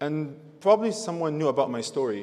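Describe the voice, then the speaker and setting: A man with a non-native accent at a very fast pace, lively in intonation, over noticeable background noise. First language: not English. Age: 20s. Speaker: university graduate, valedictorian. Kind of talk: valedictory speech. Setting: graduation ceremony stage with audience.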